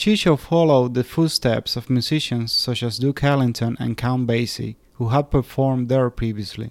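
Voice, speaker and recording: In a very clean recording with a silent background, a man talks in a normal speaking voice at medium pitch. He keeps a moderate pace with ordinary pitch variation. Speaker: podcast host. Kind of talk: scripted narration.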